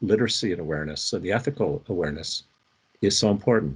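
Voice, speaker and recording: Somewhat breathy, the man's voice moves through very wide pitch swings. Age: 70s. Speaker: researcher and interaction designer. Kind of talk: expert conversation.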